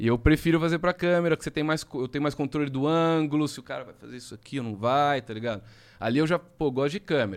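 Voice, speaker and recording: A man talks at a very fast pace in a fairly high pitch with ordinary pitch variation. It is a very clean recording with a silent background. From Jaú, interior of São Paulo state, Brazil. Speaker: magician. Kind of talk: magic trick patter; casual chat.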